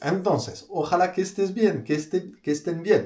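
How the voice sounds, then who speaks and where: With a dark, mellow, somewhat breathy tone, a man speaks at a moderate pace. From France. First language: French (speaking Spanish). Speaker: priest. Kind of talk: religious talk. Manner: halting, many fillers and repeated words.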